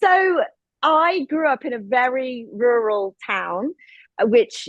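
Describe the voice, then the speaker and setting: A woman with an English accent and lively intonation, in a dry, close sound with no echo. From England. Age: 40s. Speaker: filmmaker and activist. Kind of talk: panel discussion.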